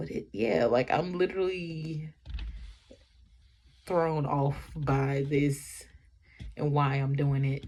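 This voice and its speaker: Breathing somewhat audibly, a woman with a very deep, low pitch and a dark, mellow tone speaks at a very slow pace with ordinary pitch variation and long, frequent pauses. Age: 20s. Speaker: vlogger. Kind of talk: personal vlog monologue. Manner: halting.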